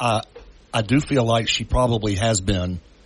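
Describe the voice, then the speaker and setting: Somewhat breathy delivery with fairly even intonation. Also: man. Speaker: city council member. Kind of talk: radio interview. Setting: phone call.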